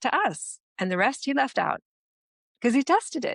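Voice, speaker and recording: A woman talks with an American accent. The sound is dry and close with no echo, over a quiet background. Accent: American, now sounds accented to Americans. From United States. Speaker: business strategist and founder. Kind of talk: podcast interview.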